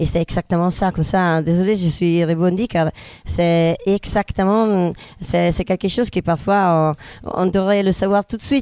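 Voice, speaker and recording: A woman with an Italian accent, medium pitch, a dark, mellow tone, fairly even intonation and very even loudness. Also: fairly slow pace, dry, close sound with no echo, very clean recording, silent background. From northern Italy. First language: Italian (speaking French). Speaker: comedian. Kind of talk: casual chat.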